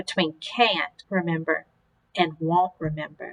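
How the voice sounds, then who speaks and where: A woman's put-on character voice, fairly low in pitch with a gentle tone, at a fairly slow pace. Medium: read story.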